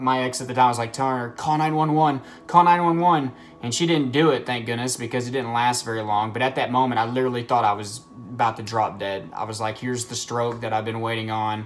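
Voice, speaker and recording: Over light background noise, a man talks at a fairly quick pace with ordinary pitch variation. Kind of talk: casual vlog chat. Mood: earnest, sometimes laughing. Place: home room. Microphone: phone near.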